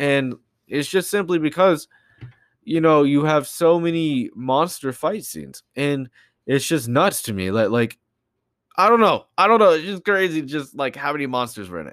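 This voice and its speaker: On a very clean recording with a silent background, a man at fairly high pitch sounds animated, using lively intonation at a moderate pace. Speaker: podcast host. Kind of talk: casual solo monologue.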